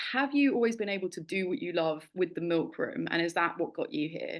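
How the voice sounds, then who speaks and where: A woman speaks in a London accent at a moderate pace against a quiet background. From England, London. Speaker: interviewer, mentor, founder. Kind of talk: interview conversation.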